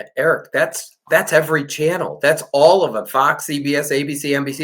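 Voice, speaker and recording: Here a man speaks with an American accent. He has a normal speaking voice. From Chicago, US Midwest. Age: 60s. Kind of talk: interview.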